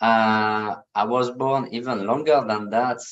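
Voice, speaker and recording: Here a man speaks in a French accent at a fairly slow pace. His pitch is medium and his intonation fairly even. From France. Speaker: aerospace and defense executive. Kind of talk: panel discussion. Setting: live stream.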